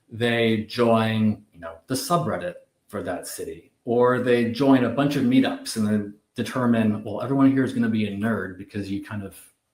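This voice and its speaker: A man with a Canadian accent speaks in a normal speaking voice at a moderate pace, medium in pitch with fairly even intonation. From Canada. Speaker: retail media executive. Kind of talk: casual chat.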